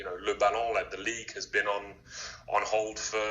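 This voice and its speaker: A man with an English accent amid noticeable background noise. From England. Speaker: streetwear brand founder. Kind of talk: podcast interview.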